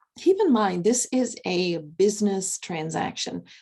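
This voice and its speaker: In a very clean recording with a silent background, a woman speaks at a fairly slow pace with a medium pitch and a dark, mellow tone, her voice somewhat breathy. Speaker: divorce coach and mediator. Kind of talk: recorded tutorial.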